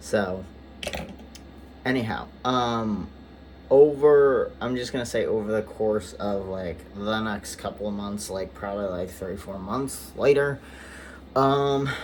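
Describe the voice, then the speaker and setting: A man talks at a very slow pace with a fairly low pitch and lively intonation. Long, frequent pauses break his speech, and the room echo is audible. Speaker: vlogger. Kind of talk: personal vlog update. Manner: many filler words, halting.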